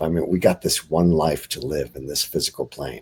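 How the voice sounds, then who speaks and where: Speaking at a moderate pace, a man with a very deep, low pitch talks with vocal fry. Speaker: bigfoot eyewitness. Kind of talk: interview. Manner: soft-spoken; halting.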